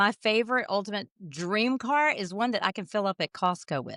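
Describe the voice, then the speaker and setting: A woman with a Southern accent talks at a moderate pace, her bright, sharp tone carrying lively intonation. The sound is dry and close with no echo, in a very clean recording with a silent background. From US South, Jackson, Mississippi. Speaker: jazz singer. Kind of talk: casual interview.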